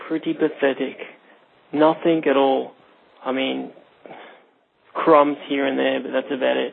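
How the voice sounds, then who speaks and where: With an Australian accent, a man speaks at a fairly slow pace in a fairly high pitch. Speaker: podcast caller leaving a voicemail. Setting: phone voicemail.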